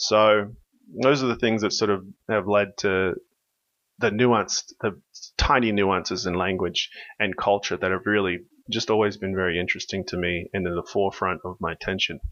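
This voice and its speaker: A man with an American accent speaks at a moderate pace, with a fairly low pitch and fairly even intonation. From Australia. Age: 40s. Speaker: software company founder. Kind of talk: podcast interview. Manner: halting, many restarts and fillers.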